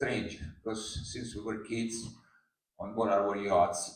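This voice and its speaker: A man speaks at a moderate pace with an Italian accent. Room echo is audible. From Italy. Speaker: yacht skipper. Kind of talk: prepared speech read aloud. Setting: press conference with audience. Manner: halting.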